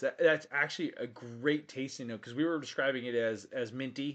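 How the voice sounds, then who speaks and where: The pace is fairly quick. Pitch varies in an ordinary way. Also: man. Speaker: whiskey show host. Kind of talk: live stream casual chat. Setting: studio. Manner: fast.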